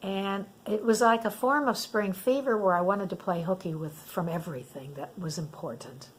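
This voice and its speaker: With noticeable background noise behind her, a woman speaks fairly slowly at a medium pitch with lively intonation. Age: 70s. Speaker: senior lifestyle YouTuber. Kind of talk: casual talk to camera.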